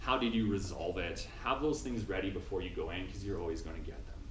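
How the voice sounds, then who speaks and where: Talking at a very fast pace with a Canadian accent and ordinary pitch variation, a man is heard over noticeable background noise and audible room echo. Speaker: instrumentation engineering graduate speaking to students. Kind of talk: talk to students.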